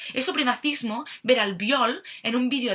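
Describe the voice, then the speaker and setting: Lively intonation marks this woman's speech. Her voice sits high. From Catalonia, Spain. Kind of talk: political opinion monologue to camera.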